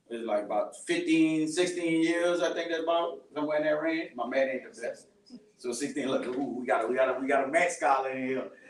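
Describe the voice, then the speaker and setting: A man's fairly high voice at a fairly quick pace, ordinary pitch variation, with noticeable background noise and audible room echo. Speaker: podcaster and ministry speaker. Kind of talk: testimony talk to a church youth group. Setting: live event with audience, recorded. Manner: loud; casual, conversational. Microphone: speaking without a microphone.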